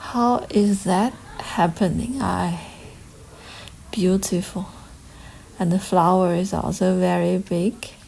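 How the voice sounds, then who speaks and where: A woman at medium pitch with a non-native accent, very slow pace, fairly even intonation, long, frequent pauses and noticeable background noise. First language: not English. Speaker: gardening vlogger. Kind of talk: casual walkthrough vlog. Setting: outdoors. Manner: halting.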